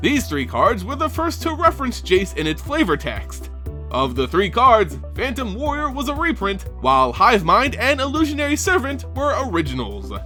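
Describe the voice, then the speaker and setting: Music plays behind a man as he talks. His pace is moderate, with hardly any pauses. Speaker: voice-over narrator. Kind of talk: trivia narration.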